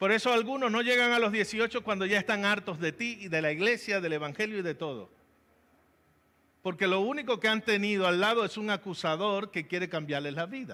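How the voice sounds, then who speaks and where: A raised, projected voice with a bright, sharp tone moves at a fairly quick pace. The pitch varies in an ordinary way. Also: man, high pitch for a man. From Venezuela, Valencia (Carabobo). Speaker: pastor. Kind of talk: sermon.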